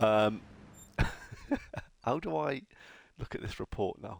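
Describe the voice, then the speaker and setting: With a northern English accent, a man speaks at a fairly low pitch with lively intonation. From northern England. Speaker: video game streamer. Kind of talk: live gameplay commentary. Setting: live stream. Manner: animated.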